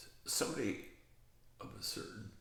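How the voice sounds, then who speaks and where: There is audible echo in the room and noticeable noise behind the speaker. A man talks very slowly. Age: 80s+. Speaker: aging channel host. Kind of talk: casual monologue.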